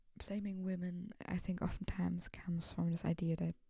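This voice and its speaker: Soft-spoken delivery at a moderate pace. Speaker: video blogger. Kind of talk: casual monologue. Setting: at home late at night. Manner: soft-spoken, talking quietly; hesitant, many fillers.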